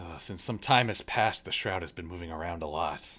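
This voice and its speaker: A man's put-on character voice, very deep and low, at a fairly quick pace. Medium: actual play. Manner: rough dialect, plainspoken.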